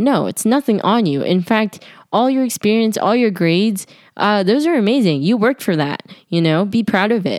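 A woman speaks at a moderate pace with a medium pitch. Her tone is animated and her intonation lively. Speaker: student podcaster. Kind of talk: casual monologue. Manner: loud.

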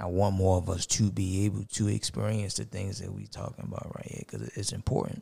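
Somewhat breathy and dark, mellow in tone, a man with an American accent talks at a fairly quick pace with hardly any pauses, a very deep, low pitch, ordinary pitch variation, and big swings in loudness. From US, Baltimore. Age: 30s. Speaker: podcaster. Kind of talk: casual chat.

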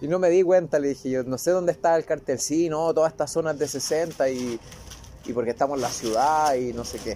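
A man using a plain, everyday voice moves at a fairly quick pace, pitched fairly high with ordinary pitch variation. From Chile. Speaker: agronomist and lab manager. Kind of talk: casual chat.

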